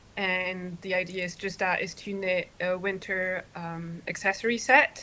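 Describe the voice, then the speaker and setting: A French accent in a very clean recording against a silent background. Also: woman. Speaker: knitter, podcasting guest. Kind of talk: casual chat.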